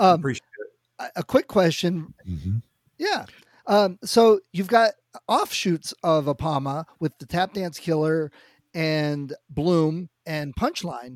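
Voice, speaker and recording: Very slowly, a man speaks at a high pitch with ordinary pitch variation, the sound dry and close with no echo. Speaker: podcast co-host. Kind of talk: casual podcast chat. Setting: remote call. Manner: loud.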